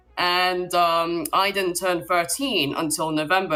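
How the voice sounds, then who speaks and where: This woman has a British accent and a fairly low pitch, speaking at a moderate pace. Music plays in the background. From Britain. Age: 20s. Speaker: caller. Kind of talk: casual chat. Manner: hesitant, many fillers.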